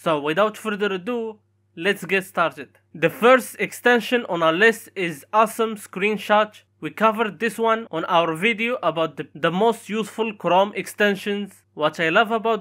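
At a moderate pace, a speaker with a non-native accent talks on a very clean recording with a silent background. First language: not English. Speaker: tech YouTuber. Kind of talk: tutorial.

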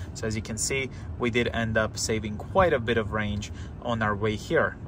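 Amid noticeable background noise, a man with a fairly low pitch is heard in a dry sound with no echo. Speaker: car owner vlogger. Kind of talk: casual vlog commentary. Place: car. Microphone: phone near.

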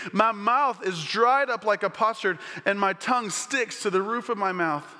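A raised, projected voice carries at a moderate pace over a quiet background. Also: man. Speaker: missions pastor. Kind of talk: sermon. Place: church. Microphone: headset.

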